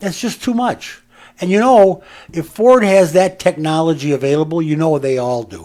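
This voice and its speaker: A man with a high pitch and a dark, mellow tone speaks with lively intonation. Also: moderate pace. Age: 70s. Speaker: radio host. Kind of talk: casual chat. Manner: animated.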